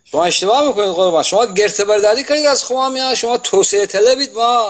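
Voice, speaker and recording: A man speaks at a very fast pace in a high voice. His intonation is lively. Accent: Gilan. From Iran, Gilan (Khomam); Gilan, Iran. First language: Gilaki (speaking Persian). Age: 80s+. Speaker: writer and translator; interview guest. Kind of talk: casual interview. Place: home room. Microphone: video call.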